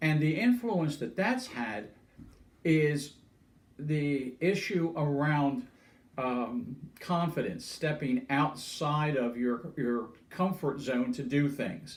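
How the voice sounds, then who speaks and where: A man with a fairly high pitch talks at a very slow pace, somewhat breathy. His intonation is lively. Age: 70s. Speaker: older adult sharing life story. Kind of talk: personal testimony. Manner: halting, many fillers.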